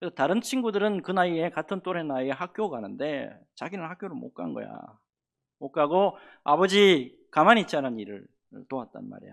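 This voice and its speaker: A man with a normal speaking voice talks at a fairly quick pace in a fairly high voice, with lively intonation and big swings in loudness, over a quiet background. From North Gyeongsang, Korea, near Pohang. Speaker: pastor. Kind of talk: sermon. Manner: conversational, asks the congregation questions.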